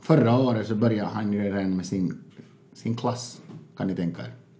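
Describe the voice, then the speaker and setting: With audible room echo around him, the man keeps a moderate pace and his pitch varies in an ordinary way. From Finland (Finland-Swedish). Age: 40s. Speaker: stand-up comedian and adoptive father. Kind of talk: casual interview. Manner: halting, repetitive.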